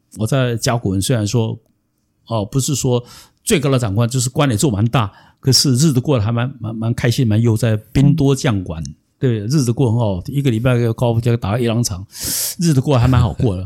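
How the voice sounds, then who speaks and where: A man speaks at a fairly quick pace in a medium pitch, his tone dark and mellow and somewhat breathy, with ordinary pitch variation on a very clean recording with a silent background. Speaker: venture capitalist and former executive. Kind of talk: interview storytelling.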